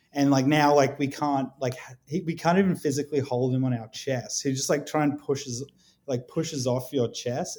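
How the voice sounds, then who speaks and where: He speaks with an Australian accent. The voice belongs to a man. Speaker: guest, father of a baby. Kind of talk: casual chat.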